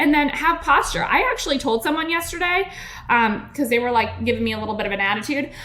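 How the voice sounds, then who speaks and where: A woman speaks with audible echo from the room. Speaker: podcast host and network marketing coach. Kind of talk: business coaching podcast monologue. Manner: fast; animated.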